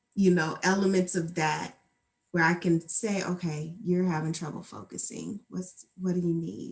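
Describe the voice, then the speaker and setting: The intonation is monotone and flat. The voice is somewhat breathy. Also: woman, fairly low pitch for a woman. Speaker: mental health helper. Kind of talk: interview. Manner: slow; soft-spoken.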